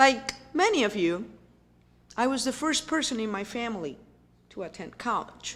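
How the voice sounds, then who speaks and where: Very wide pitch swings at a moderate pace, broken by long, frequent pauses. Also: woman, fairly high pitch for a woman. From Puerto Rico. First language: Spanish. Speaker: university president. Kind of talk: keynote speech.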